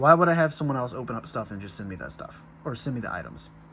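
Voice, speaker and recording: There is noticeable noise in the background. Over it, a man talks. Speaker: card collector YouTuber. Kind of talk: pack opening. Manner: stutters when excited.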